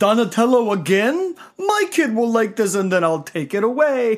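This man puts on a character voice, pitched high and paced moderately.

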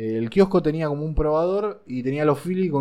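A man with an unremarkable speaking voice, fairly high-pitched, with ordinary pitch variation and a moderate pace. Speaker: vape shop owner. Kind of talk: casual chat. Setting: in a vape shop.

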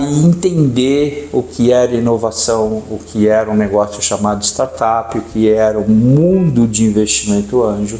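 A man with lively intonation at a fairly slow pace, music in the background. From São Paulo, Brazil. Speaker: entrepreneur and angel investor. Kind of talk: podcast interview.

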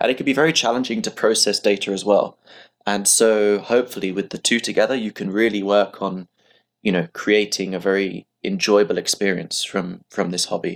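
A man's normal speaking voice, fairly low-pitched with ordinary variation, at a fairly quick pace in a very clean recording over a silent background. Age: 20s. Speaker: remote telescope company co-founder and medical student. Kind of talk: interview.

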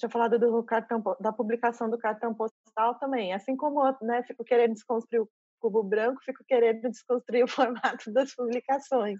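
An unremarkable speaking voice with fairly even intonation and a dry, close sound with no echo. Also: woman, big swings in loudness. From interior of São Paulo state, Brazil (São José dos Campos). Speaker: curator and university professor. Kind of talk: interview.

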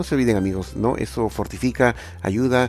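The speaker's pitch swings very widely. The pace is moderate. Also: man. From Peru, Lima. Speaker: tech podcast host. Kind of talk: solo tech podcast monologue. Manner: hesitant, many filler sounds.

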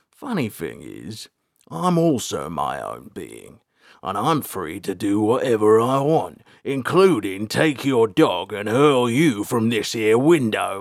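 On a very clean recording with a silent background, a growling, put-on character voice moves at a fairly slow pace with very wide pitch swings. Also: man, medium pitch for a man. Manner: growling, threatening.

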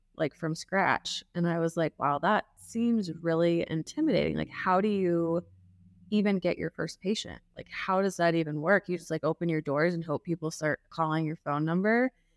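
A woman with a plain, everyday voice and a fairly low pitch talks at a moderate pace with fairly even intonation, in a very clean recording with a silent background and a dry, close sound with no echo. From US Midwest, Kansas City. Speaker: facial plastic surgeon. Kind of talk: casual interview.

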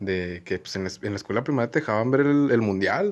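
Talking at a moderate pace, a man with a northern Mexican accent uses lively intonation at a medium pitch. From Mexico, Comarca Lagunera (Durango/Coahuila). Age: 20s. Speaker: law student, podcast co-host. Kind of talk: casual chat. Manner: halting.

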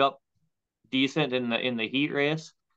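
A man with an Upper Midwest accent, medium pitch, moderate pace and fairly even intonation. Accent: Upper Midwest (Minnesota). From Minnesota (Waconia). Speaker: stock car racer and landscaper. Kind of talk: casual interview. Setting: video call.

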